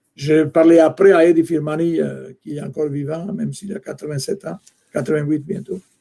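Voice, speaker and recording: Speaking with an Italian accent, a man has a fairly high pitch, a dark, mellow tone and big swings in loudness. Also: ordinary pitch variation, moderate pace. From Italy. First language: Italian (speaking French). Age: 60s. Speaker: soccer executive and longtime fan club leader. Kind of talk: podcast interview. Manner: halting, many hesitations.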